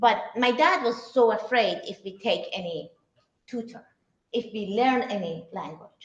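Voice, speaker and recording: Fairly slow speech from a woman, fairly high in pitch, with lively intonation. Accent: Persian. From Iran, Shiraz. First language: Persian. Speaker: cook and cooking teacher. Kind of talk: talk to a live audience. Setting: synagogue event with audience. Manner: halting.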